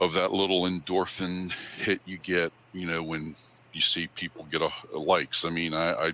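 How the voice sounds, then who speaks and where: Booming and bright with a sharp tone, a man's very deep, low-pitched voice carries fairly even intonation. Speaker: photographer giving club talk. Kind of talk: presentation to camera club. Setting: live stream. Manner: casual, many fillers.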